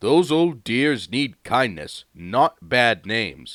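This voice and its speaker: A put-on character voice at a very slow pace. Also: man, medium pitch for a man. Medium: read story.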